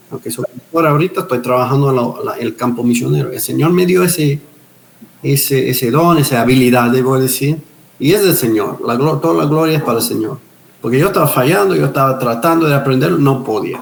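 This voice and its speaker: Noticeable background noise sits behind a man with a medium pitch. He talks at a fairly quick pace with ordinary pitch variation. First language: English (speaking Spanish). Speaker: pastor, missionary and retired police officer. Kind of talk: interview testimony. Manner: halting with repetitions.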